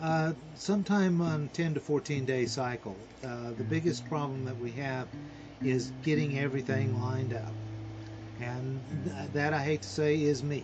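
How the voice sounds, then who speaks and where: Over noticeable background noise and audible room echo, a man at a medium pitch speaks at a moderate pace with ordinary pitch variation. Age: 60s. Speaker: podcast creator. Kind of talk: interview. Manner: halting.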